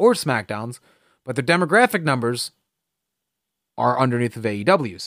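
The recording is very clean, with a silent background. A man with an American accent moves at a fairly quick pace, his pitch swinging very widely. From New Jersey. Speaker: wrestling podcast host. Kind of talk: solo podcast commentary. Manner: casual, filler-heavy.

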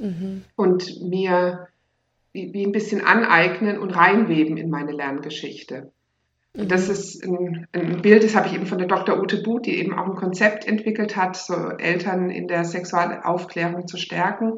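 With fairly even intonation, a woman speaks in a normal speaking voice at a medium pitch. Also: moderate pace. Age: 40s. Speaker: teacher and sex education course leader. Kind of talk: interview, casual chat.

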